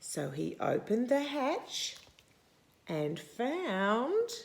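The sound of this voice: A woman speaks very slowly at a fairly high pitch, her voice swinging very widely in pitch and showing vocal fry.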